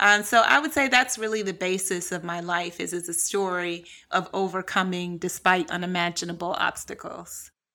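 Medium-pitched woman with a bright, sharp tone, ordinary pitch variation and a moderate pace, in a very clean recording with a silent background. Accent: American. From US Midwest, Cleveland, Ohio. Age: young. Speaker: writer and speaker. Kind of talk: interview conversation.

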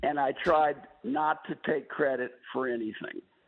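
A man's plain, everyday voice with an American accent, fairly high in pitch, with fairly even intonation and a fairly slow pace. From US Midwest. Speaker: former trade official. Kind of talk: radio interview.

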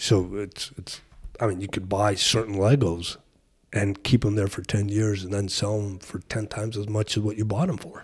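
A man talks at a moderate pace in a fairly low, somewhat breathy voice. The recording is very clean, with a silent background. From Colombia. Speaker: toy shop owner. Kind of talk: casual interview.

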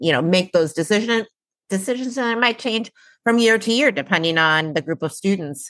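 An ordinary speaking voice from a woman, with lively intonation at a moderate pace, dry and close with no echo. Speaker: podcast host. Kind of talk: interview.

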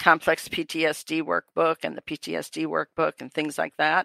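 In a very clean recording with a silent background and a dry, close sound with no echo, a woman with an American accent speaks in a very deep, low voice with a bright, sharp tone and vocal fry. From US Midwest, Wisconsin. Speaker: retired professor and cult expert. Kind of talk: interview conversation.

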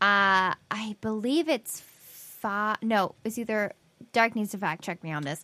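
At a fairly slow pace, a woman with an ordinary speaking voice and a fairly high pitch shows ordinary pitch variation, recorded very clean with a silent background and a dry, close sound with no echo. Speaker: podcast co-host. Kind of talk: casual chat.

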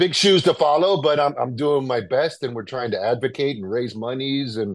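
At a moderate pace, a man uses a normal speaking voice with lively intonation. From New York City. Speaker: restaurant owner. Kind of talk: interview.

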